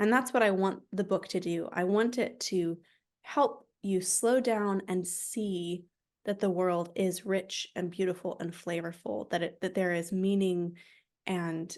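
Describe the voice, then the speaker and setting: Against a quiet background, a woman with an unremarkable speaking voice talks at a fairly slow pace, her medium pitch showing ordinary variation. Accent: American. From United States. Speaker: author. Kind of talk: interview.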